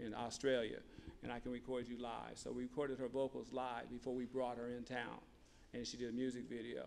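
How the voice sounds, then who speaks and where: With an American accent, a man speaks at a fairly quick pace, his medium pitch held in a monotone, flat line. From Ohio, Columbus. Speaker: music producer. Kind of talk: interview.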